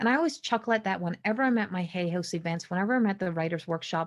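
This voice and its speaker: A woman speaks with a Newfoundland accent and ordinary pitch variation. The recording is very clean, with a silent background. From Newfoundland, Canada. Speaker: spiritual consultant and psychic medium. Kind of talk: podcast monologue. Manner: small neurological delays in speech; halting, self-correcting.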